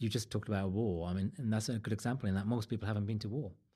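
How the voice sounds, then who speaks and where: A somewhat breathy, dark, mellow voice at a very fast pace with ordinary pitch variation, on a very clean recording with a silent background. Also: man. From England, West Midlands (Wolverhampton). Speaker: journalist and author. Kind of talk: interview conversation.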